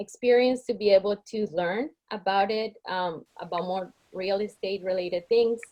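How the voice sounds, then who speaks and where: With a Spanish accent, a woman speaks at a moderate pace and medium pitch, her intonation fairly even. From Colombia. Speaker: realtor. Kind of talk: candidate self-introduction at an online meeting.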